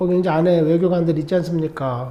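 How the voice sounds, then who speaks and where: A man talks with audible room echo. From South Korea. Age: 60s. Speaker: vlogger, Korean emigrant. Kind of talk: monologue vlog. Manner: animated.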